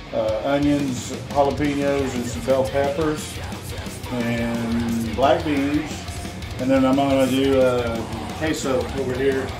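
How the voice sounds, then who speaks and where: A man speaks at a very slow pace with long, frequent pauses while clear music plays in the background. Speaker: home cook host. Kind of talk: casual cooking demonstration. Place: kitchen.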